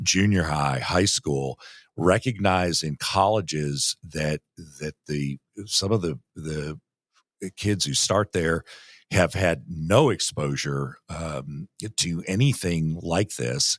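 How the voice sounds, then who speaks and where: A man with a very deep, low pitch speaks at a very slow pace with ordinary pitch variation. The recording is very clean, with a silent background and a dry, close sound with no echo. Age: 60s. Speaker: municipal league executive director. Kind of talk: interview conversation.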